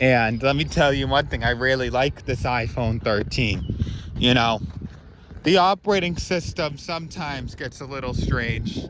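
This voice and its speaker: Amid noticeable background noise, a man talks at a moderate pace with a medium pitch. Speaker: vlogger. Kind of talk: casual vlog walk-through. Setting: outdoors in a park. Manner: loud; halting, many fillers.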